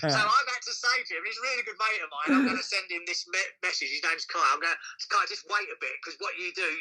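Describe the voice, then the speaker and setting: A man talks at a very fast pace in an English accent. Noticeable background noise is present. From London. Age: 60s. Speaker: club promoter and percussionist. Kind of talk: interview. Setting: Sylvia in the room. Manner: animated.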